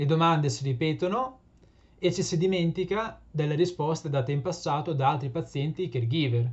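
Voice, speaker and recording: With ordinary pitch variation, a man keeps to a moderate pace. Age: 20s. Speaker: PhD student and patient advocate. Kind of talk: prepared presentation. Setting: remote video link. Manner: formal. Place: home room. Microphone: webcam.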